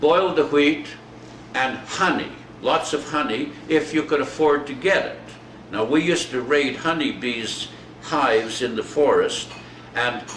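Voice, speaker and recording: Long, frequent pauses break up a man's fairly slow delivery at a fairly high pitch with ordinary pitch variation. Noticeable background noise is present. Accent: Canadian. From Alberta, Canada. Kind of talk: reminiscing interview.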